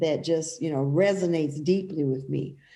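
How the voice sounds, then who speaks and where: Audible room echo surrounds a woman whose fairly low pitch moves with ordinary variation. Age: 50s. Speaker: pastor and author. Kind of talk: casual interview conversation.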